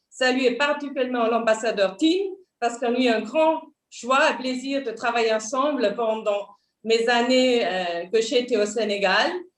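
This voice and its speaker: Speaking fairly slowly, a woman with a Swiss German accent uses a high pitch. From Switzerland, Basel. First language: Swiss German (speaking French). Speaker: diplomat. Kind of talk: formal self-introduction at a panel. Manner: halting, many fillers.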